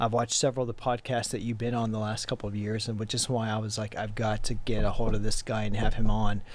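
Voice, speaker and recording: A man with an American accent, fairly low pitch and hardly any pauses. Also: very clean recording, silent background. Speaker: podcast host. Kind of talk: interview. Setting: studio. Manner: animated.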